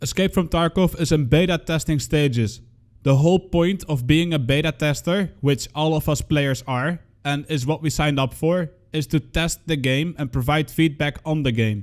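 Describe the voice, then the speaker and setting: A man with a strong non-native accent speaks at a moderate pace in a fairly high pitch with ordinary pitch variation, on a very clean recording with a silent background. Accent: thick non-native. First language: not English. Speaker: gaming content creator. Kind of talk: scripted commentary.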